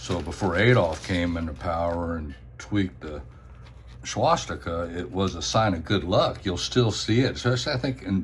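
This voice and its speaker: Here a man speaks with lively intonation. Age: 60s. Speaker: coin and token collector. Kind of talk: show-and-tell video. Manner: casual, halting with fillers.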